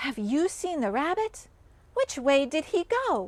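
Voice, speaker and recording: A squeaky, put-on character voice swings very widely in pitch. It moves at a fairly slow pace. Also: woman. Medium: read story. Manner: suspicious, prying.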